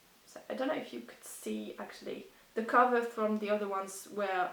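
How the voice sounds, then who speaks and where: Noticeable noise fills the background. This woman's pace is moderate. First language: not English. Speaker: book vlogger. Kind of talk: casual talk to camera. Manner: hesitant.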